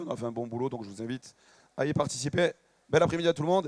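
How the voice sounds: Putting on a character voice, a man talks at a very fast pace and a fairly high pitch. His voice is hoarse and raspy.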